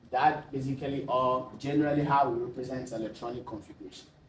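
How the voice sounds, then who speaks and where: A man is speaking amid noticeable background noise. Room echo is audible. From Ghana. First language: not English. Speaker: tutor. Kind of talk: tutorial. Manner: halting.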